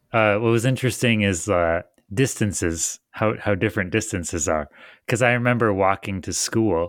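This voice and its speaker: A man with a normal speaking voice and an American accent talks at a moderate pace in a fairly low pitch with lively intonation, recorded very clean with a silent background and a dry, close sound with no echo. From Michigan. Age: 30s. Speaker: podcast co-host, woodworking maker. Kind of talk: casual chat.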